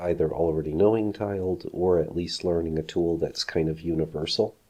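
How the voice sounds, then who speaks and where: A man mumbles at a fairly quick pace in a very deep, low pitch with a dark, mellow tone. His intonation is fairly even, and the background is quiet. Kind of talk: casual tutorial conversation. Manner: mumbling.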